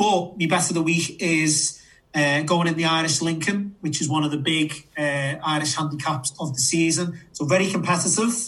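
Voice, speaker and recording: Pitched fairly high, a man speaks at a moderate pace with fairly even intonation, with audible room echo and noticeable background noise. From Liverpool, England. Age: 30s. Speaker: podcast co-host and horse racing tipster. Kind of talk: casual chat.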